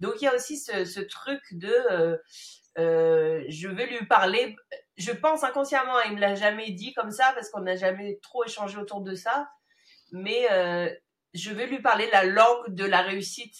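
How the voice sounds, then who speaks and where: Speaking at a fairly slow pace with long, frequent pauses, a woman with a fairly high pitch and ordinary pitch variation shows big swings in loudness. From Madagascar then France. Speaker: podcast host. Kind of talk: casual interview.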